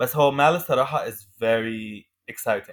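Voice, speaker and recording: The man speaks at a medium pitch with an Arabic accent. There is music in the background. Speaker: podcast host. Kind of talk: casual chat, code-switching Arabic and English.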